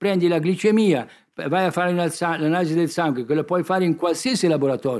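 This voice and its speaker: On a very clean recording with a silent background, a man talks at a fairly quick pace with a high pitch. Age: 70s. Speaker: doctor and author. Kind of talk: public talk.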